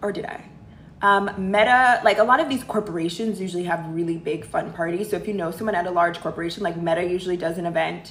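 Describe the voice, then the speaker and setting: Amid noticeable background noise and audible room echo, a woman with an American accent speaks at a fairly quick pace and medium pitch with lively intonation. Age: 30s. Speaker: livestream host, career and lifestyle advisor. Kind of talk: casual livestream Q&A. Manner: animated.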